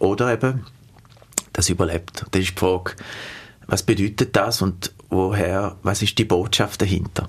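With a Swiss accent, a man speaks at a moderate pace in a fairly low pitch. His intonation is fairly even, broken by long, frequent pauses. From Switzerland. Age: 40s. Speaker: humanitarian aid worker. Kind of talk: interview.

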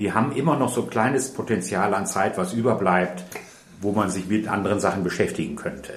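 With a northern German accent, a man speaks in a fairly low voice, and the room echo is audible. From Ruhr area, Germany. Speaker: retired nurse. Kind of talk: interview.

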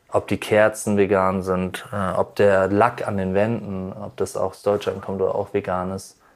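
This man talks at a fairly slow pace with hardly any pauses, his fairly low voice flat and monotone in a very clean recording with a silent background. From North Rhine-Westphalia near the Dutch border. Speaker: chef. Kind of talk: interview.

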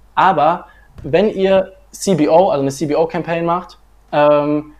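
A man with a fairly high pitch and ordinary pitch variation has an unremarkable speaking voice. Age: 20s. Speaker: marketing agency founder. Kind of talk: livestream interview.

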